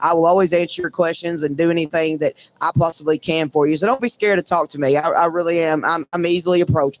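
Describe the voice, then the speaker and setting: A loud man talks at a very fast pace with hardly any pauses, his high pitch held in fairly even intonation, the sound dry and close with no echo. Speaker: breakaway roper. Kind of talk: casual interview. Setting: live from a trade show booth.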